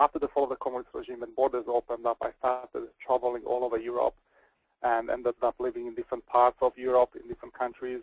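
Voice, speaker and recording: A man speaks at a very fast pace with big swings in loudness, the sound dry and close with no echo. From Slovakia, ethnic Hungarian. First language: Hungarian. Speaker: webinar presenter, intercultural trainer. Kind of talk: webinar presentation.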